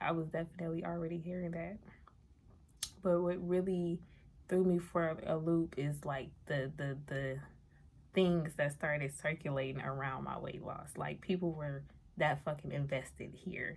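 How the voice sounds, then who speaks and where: Soft-spoken woman with a very deep, low pitch, fairly even intonation and a moderate pace. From New Orleans, Louisiana. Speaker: vlogger. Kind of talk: casual vlog monologue. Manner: quiet, low volume.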